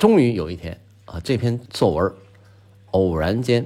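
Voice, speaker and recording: A man's relaxed tone at a medium pitch, on a very clean recording with a silent background. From Northeast China. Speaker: podcast host. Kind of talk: scripted monologue. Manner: relaxed with frequent filler particles.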